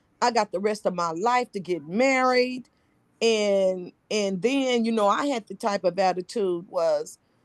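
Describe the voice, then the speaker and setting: With an unremarkable speaking voice, a woman talks at a fairly slow pace and medium pitch with ordinary pitch variation, in a dry, close sound with no echo against a quiet background. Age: 60s. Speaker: book study group participant. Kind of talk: casual group discussion, personal sharing.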